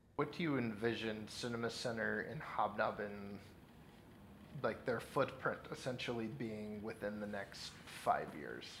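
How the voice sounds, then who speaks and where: At a fairly slow pace, a man talks while noticeable background noise carries on around him. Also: medium pitch for a man, ordinary pitch variation. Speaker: interviewer. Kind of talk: interview. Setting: on location at event.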